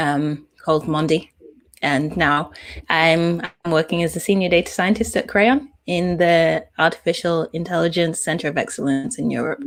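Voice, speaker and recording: With a British accent, a woman speaks at a moderate pace in a fairly low pitch. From UK. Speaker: data scientist. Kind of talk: interview.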